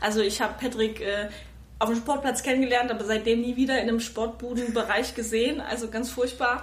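A woman talks at a fairly quick pace and a fairly high pitch, with monotone, flat intonation. Audible room echo surrounds her voice. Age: 30s. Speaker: mother of two. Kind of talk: casual interview. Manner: hesitant, many fillers.

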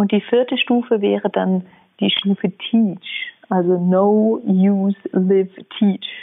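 Very slow in pace, a woman with a medium pitch keeps very even loudness and fairly even intonation. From Germany, Munich (Bavaria). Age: 30s. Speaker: entrepreneur and researcher. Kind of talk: interview.

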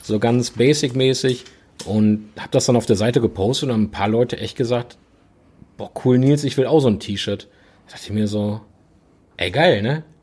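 Somewhat breathy, a man talks at a fairly quick pace with ordinary pitch variation. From Ruhr area, Oberhausen (western Germany). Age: 30s. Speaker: business owner (car apparel brand). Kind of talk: casual chat.

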